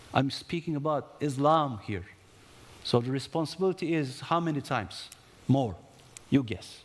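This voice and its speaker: At a moderate pace, a man with a Turkish accent speaks in a fairly high voice with lively intonation and long, frequent pauses. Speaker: conference panelist, investment promotion professional. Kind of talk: conference panel talk. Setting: conference stage with audience. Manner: animated, with hesitations and self-corrections.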